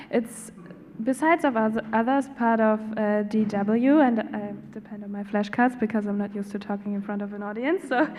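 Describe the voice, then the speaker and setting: With noticeable background noise around her, a woman speaks at a moderate pace and fairly high pitch, using ordinary pitch variation and big swings in loudness. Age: 20s. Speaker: journalist. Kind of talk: panel introduction.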